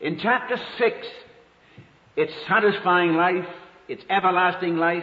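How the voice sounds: A man talks at a high pitch and a fairly slow pace. Room echo is audible. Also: ordinary pitch variation.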